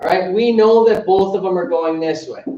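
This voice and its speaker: A man speaks loudly in a high voice with ordinary pitch variation. Audible room echo surrounds him. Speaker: high school teacher. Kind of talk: lecture.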